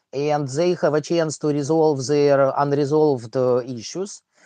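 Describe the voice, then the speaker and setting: A strong Russian accent against a quiet background. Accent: thick Russian. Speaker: livestream host and math teacher. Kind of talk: casual livestream chat. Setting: online livestream. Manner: halting with many fillers.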